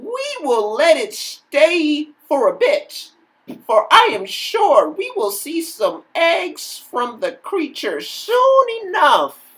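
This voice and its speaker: This put-on character voice sits at an extremely high pitch and swings very widely. The pace is very slow. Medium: read story.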